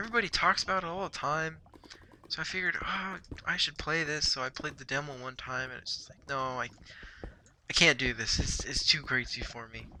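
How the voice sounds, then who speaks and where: Quietly and at a fairly quick pace, a man speaks with lively intonation. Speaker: gaming youtuber. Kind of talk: gameplay commentary. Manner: casual, hesitant with repetitions.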